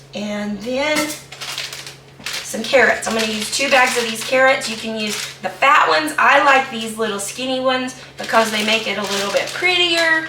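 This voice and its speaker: In an Ozark accent, a woman with a fairly high pitch talks at a moderate pace with lively intonation, amid noticeable background noise and audible room echo. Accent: US Southern (Missouri Ozarks). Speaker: home cooking video host. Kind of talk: cooking tutorial. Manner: casual, hesitant with fillers.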